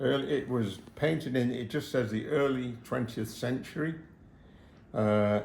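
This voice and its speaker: A man talks in an English accent at a medium pitch. Room echo is audible. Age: 80s+. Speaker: retired hobby restorer. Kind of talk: casual chat. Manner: halting.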